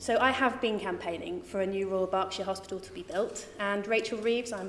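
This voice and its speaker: With a southern English accent and ordinary pitch variation, a woman speaks over noticeable background noise. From southern England, Reading. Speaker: parliamentary candidate. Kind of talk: hustings speech.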